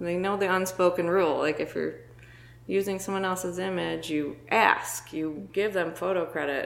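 A woman's unremarkable speaking voice at medium pitch, moderately paced, with fairly even intonation. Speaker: photographer. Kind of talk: casual chat.

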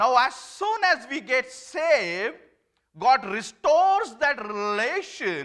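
A man projects a raised voice at an extremely high pitch. His pitch swings very widely. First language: not English. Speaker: lay preacher. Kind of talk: sermon. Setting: church.

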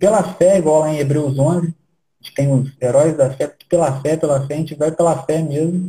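A man with a fairly high pitch and a dark, mellow tone speaks at a moderate pace with fairly even intonation and hardly any pauses. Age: 30s. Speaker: church planter. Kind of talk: casual interview.

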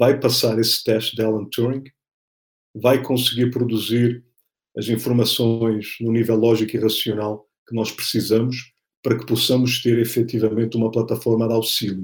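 A man talks in a somewhat breathy voice. His intonation is monotone and flat. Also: medium pitch for a man, moderate pace. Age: 40s. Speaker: political scientist and speaker. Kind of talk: interview.

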